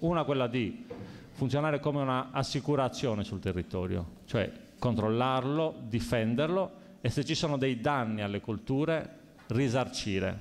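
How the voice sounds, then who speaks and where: Here a man talks at a medium pitch and a moderate pace. His intonation is lively. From Sardinia. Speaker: local election candidate; election candidate. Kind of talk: candidates' debate. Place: hall. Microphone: podium.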